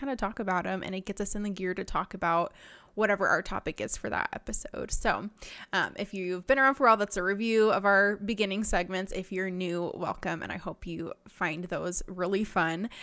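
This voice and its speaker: On a very clean recording with a silent background, a woman of medium pitch talks at a fairly quick pace in a bubbly, animated tone. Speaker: nutrition podcast host, diet technician. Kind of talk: casual solo podcast talk. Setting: studio recording. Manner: fast.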